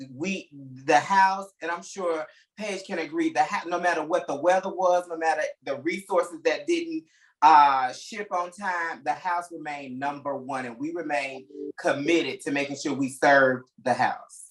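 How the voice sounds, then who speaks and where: A man with an American accent speaks in an ordinary speaking voice, fairly high-pitched, at a moderate pace. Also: ordinary pitch variation. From US South, Alabama. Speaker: interior designer. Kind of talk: interview.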